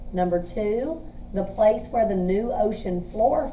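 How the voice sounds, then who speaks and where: A woman's voice carries audible room echo. Noticeable background noise is also present. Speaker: teacher. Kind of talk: tutorial.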